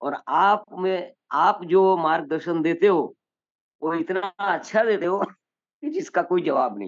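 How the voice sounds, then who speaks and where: High-pitched speech from a man, with ordinary pitch variation. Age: 60s. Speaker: new network member. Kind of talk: self-introduction on a Zoom meeting. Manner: halting.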